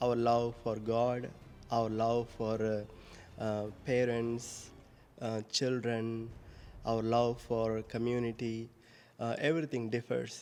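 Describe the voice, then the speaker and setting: Speaking with an Indian accent, a man uses monotone, flat intonation at a very slow pace with long, frequent pauses. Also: medium pitch for a man. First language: Indian language. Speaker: priest. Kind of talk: homily. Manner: halting.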